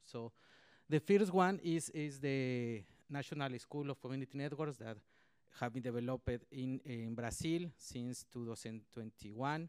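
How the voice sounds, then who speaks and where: A man at a medium pitch talks at a fairly slow pace with ordinary pitch variation. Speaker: community networks trainer. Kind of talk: panel presentation. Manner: halting.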